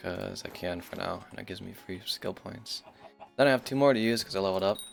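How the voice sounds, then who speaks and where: With music in the background, a man talks very fast at a medium pitch, with big swings in loudness. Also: ordinary pitch variation. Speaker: gaming streamer. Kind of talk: gameplay commentary. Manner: casual, rambling.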